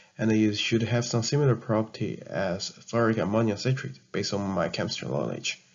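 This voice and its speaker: A man with a Chinese accent speaks at a medium pitch with vocal fry. His pitch varies in an ordinary way, and his pace is moderate. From China. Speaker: chemistry student vlogger. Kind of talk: tutorial narration. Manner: halting.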